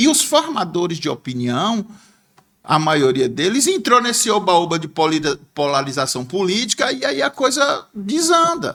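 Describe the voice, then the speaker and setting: A man speaks at a moderate pace in a high voice that swings very widely in pitch. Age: 60s. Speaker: former bank clerk and businessman, political commentator. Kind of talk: podcast interview.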